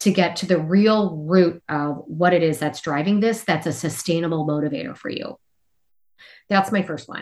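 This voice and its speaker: A woman with an American accent uses an unremarkable speaking voice at a fairly low pitch, with lively intonation and a moderate pace. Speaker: health coach. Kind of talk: interview.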